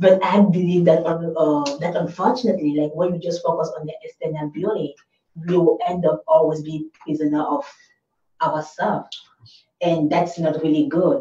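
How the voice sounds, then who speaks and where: Her loudness swings a lot as a woman, in an ordinary speaking voice, talks at a moderate pace in a fairly low pitch with ordinary pitch variation. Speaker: talk show host. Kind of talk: talk show interview. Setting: studio broadcast.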